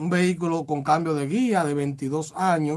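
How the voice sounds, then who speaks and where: A man talks very slowly. The recording is very clean, and the background is silent. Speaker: radio host. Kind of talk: casual radio talk show.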